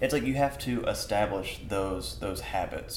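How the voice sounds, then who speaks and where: Audible room echo hangs around a man's voice amid noticeable background noise. He keeps a moderate pace. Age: 20s. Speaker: podcast host. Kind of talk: casual interview chat. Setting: art gallery studio.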